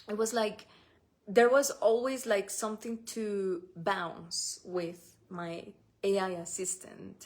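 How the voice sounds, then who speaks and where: A woman speaks very slowly with a Spanish accent. Her pitch is medium and varies in an ordinary way. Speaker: spiritual business coach. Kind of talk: solo podcast talk. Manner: halting, with restarts and fillers.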